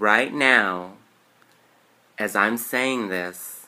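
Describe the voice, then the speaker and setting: Very slowly, a man talks in a bright, sharp tone. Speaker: YouTuber. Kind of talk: guided meditation with repeat-after-me affirmations. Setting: solo video to camera. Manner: warm, sincere, chatty. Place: home room. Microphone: webcam.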